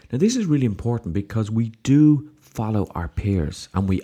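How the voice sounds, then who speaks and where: A man with an Irish accent, dark and mellow in tone, with lively intonation at a moderate pace. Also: very clean recording, silent background. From Ireland. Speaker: podcast host, success coach. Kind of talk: solo podcast monologue.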